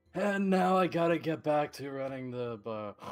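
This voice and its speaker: Using a put-on character voice, a man talks at a moderate pace with a fairly high pitch and lively intonation. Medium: actual play. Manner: gruff, casual, folksy.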